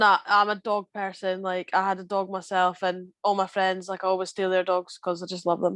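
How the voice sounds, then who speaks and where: In a strong Scottish Borders accent, a woman speaks at a moderate pace with monotone, flat intonation and a dry, close sound with no echo. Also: medium pitch for a woman, hardly any pauses. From Scotland, Scottish Borders. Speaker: rugby player. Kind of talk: casual interview chat. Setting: podcast recording.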